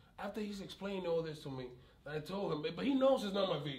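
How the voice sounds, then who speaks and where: A loud man speaks at a fairly quick pace with lively intonation and a high pitch. Noticeable background noise and audible room echo surround him. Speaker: community activist with police conflicts. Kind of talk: interview conversation. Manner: animated, sometimes shouting.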